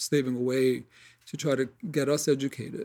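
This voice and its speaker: The voice has a dark, mellow tone. It carries a New York accent. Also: man. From New York City, Queens. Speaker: acupuncturist. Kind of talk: casual chat.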